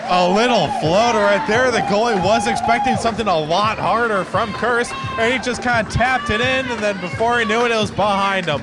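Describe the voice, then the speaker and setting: Against loud background noise, a man with a high pitch talks with hardly any pauses and ordinary pitch variation. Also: fairly quick pace. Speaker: amateur game commentator. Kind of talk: live sports commentary (color analysis). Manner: casual, conversational, excitable on big goals. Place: stadium. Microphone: phone near.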